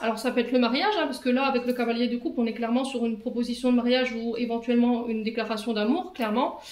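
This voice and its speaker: A woman with a high pitch talks at a fairly quick pace and fairly even intonation. Noticeable background noise and audible room echo fill the recording. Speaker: tarot reader. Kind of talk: tarot reading. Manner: hesitant with fillers.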